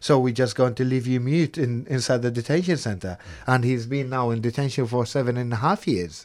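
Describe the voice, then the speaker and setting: A man talks at a fairly quick pace with a medium pitch and ordinary pitch variation, in a normal speaking voice. The recording is very clean, with a silent background. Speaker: former detainee, asylum seeker. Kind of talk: casual interview. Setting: studio.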